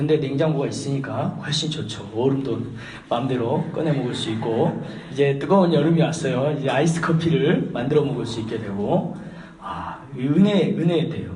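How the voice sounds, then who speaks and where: Through noticeable background noise and audible room echo, a man with a fairly high pitch and ordinary pitch variation talks at a moderate pace. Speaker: pastor. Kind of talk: sermon. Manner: conversational, hesitant fillers.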